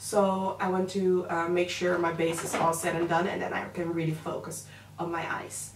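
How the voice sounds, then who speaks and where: Flat, monotone delivery at a moderate pace, with noticeable background noise and audible room echo. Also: woman. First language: Dutch. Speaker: makeup artist and beauty vlogger. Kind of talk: makeup tutorial with casual chat. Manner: hesitant, filler-heavy.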